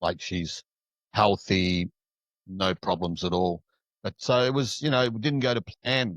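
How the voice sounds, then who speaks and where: With lively intonation and long, frequent pauses, a man speaks at a fairly low pitch in a dry, close sound with no echo. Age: 60s. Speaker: shadow work coach. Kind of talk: casual interview chat. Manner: halting, many fillers.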